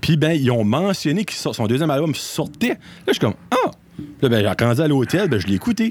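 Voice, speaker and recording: A man talks at a moderate pace in a fairly high pitch. His voice makes very wide pitch swings. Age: 30s. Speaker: podcast guest. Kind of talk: casual chat.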